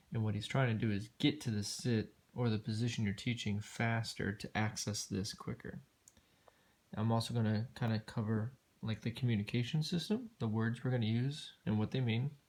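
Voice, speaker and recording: A man's somewhat breathy voice at a medium pitch. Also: ordinary pitch variation, moderate pace. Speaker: dog trainer. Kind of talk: tutorial. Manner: casual, filler-heavy speech.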